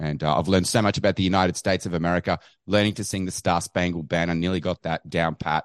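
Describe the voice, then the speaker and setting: A man with an Australian accent, fairly even intonation, and a dry, close sound with no echo, over a quiet background. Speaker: caller, activist. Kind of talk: call-in chat.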